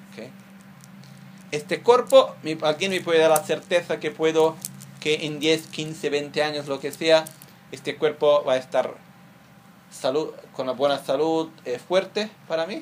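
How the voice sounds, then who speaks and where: Leaving long, frequent pauses, a man speaks at a fairly high pitch with ordinary pitch variation. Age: 30s. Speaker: Buddhist teacher. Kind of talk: dharma teaching.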